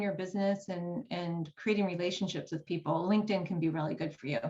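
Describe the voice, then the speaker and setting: With an American accent, a woman talks at a very fast pace. Her voice is somewhat breathy. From United States. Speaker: writing coach. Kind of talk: workshop presentation.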